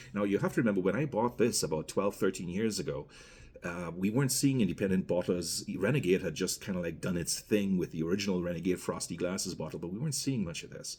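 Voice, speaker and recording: A man's very deep, low voice with a Guyanese accent at a very fast pace. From Guyana. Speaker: rum reviewer. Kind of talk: product review, casual monologue. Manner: conversational, with fillers and self-corrections.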